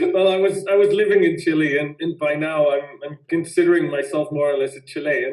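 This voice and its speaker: Over noticeable background noise, a man speaks at a fairly quick pace and fairly high pitch, with fairly even intonation and hardly any pauses. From Netherlands. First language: Dutch. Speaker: winemaker. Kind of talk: interview.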